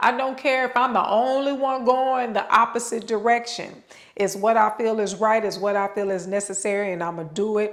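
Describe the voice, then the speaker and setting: Drawling, a woman speaks with a fairly high pitch. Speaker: yoga channel host / vlogger. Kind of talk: motivational talk. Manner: casual, conversational.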